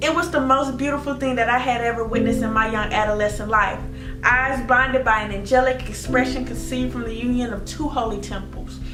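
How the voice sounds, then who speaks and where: Music runs in the background. Over it, a woman speaks fairly quickly. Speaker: spoken word poet. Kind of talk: spoken word poetry performance.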